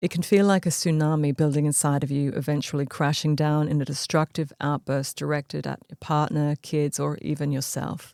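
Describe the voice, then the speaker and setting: A woman with a very deep, low, dark and mellow voice speaks in a flat monotone at a fairly quick pace with hardly any pauses, the sound dry and close with no echo on a very clean recording with a silent background. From Australia. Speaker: podcast host and therapist. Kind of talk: podcast monologue.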